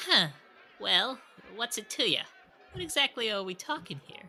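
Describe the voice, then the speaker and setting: Someone puts on a character voice with a fairly high pitch. Music plays in the background. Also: moderate pace. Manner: skeptical, gruff.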